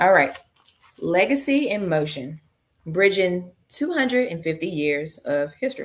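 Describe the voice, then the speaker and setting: Pitch swings very widely as a woman speaks at a fairly low pitch. She keeps a fairly slow pace. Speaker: genealogy researcher and presenter. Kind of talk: presentation on a video call. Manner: casual.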